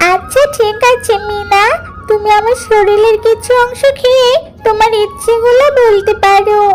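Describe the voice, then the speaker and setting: In a cartoonish character voice at an extremely high pitch, a woman talks at a fairly slow pace over clear background music. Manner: gentle, generous.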